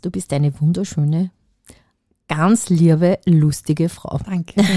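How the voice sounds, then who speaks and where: With a dark, mellow tone and a somewhat breathy quality, a woman speaks at a fairly low pitch with ordinary variation, recorded with a dry, close sound and no echo. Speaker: podcast co-host. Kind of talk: casual chat.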